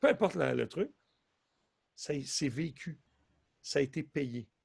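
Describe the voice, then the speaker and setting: A man talks at a fairly slow pace with a medium pitch and ordinary pitch variation. His voice carries vocal fry. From Quebec. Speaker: hypnotherapist and stage hypnotist. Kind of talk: casual interview.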